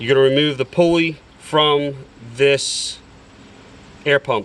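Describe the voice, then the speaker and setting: At a very slow pace, a man with a fairly high pitch speaks with fairly even intonation. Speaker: DIY auto repair video maker. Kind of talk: tutorial.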